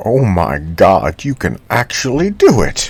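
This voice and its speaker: A man does a put-on character voice at a medium pitch. He talks at a fairly slow pace. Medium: audio drama.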